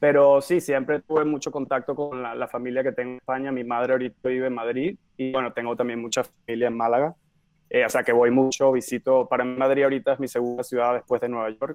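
With music in the background, a man at a medium pitch speaks very fast with fairly even intonation. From Venezuela, Caracas. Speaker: film director. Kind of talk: interview.

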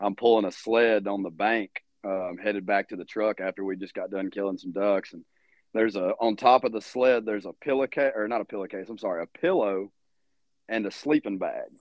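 With a Louisiana accent, a man speaks at a fairly quick pace and a fairly low pitch. His intonation stays fairly even while his loudness swings widely. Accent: Louisiana Southern US. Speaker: hunting outfitter. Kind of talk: casual chat.

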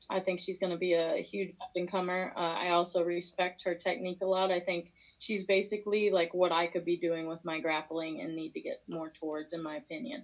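A woman with a normal speaking voice and an American accent, fairly quick, hardly any pauses, ordinary pitch variation. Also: fairly low pitch for a woman. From Missouri. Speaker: MMA fighter. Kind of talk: interview.

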